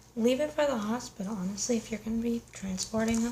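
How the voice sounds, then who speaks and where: A woman's pitch moves in an ordinary way while noticeable background noise carries on around her. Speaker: paramedic / emergency medical ASMR creator. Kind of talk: ASMR unboxing, casual talk to camera. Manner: casual, conversational, slightly humorous.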